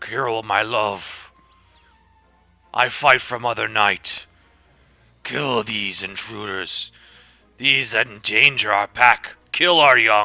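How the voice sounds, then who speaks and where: Putting on a character voice, a man speaks at a very slow pace with long, frequent pauses. His medium-pitched voice is raspy and gravelly. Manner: fierce, commanding.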